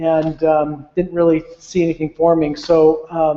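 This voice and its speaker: A high-pitched man speaks with monotone, flat intonation. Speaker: IT manager. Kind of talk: informal presentation. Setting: meeting room with audience, streamed online. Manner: halting, many fillers.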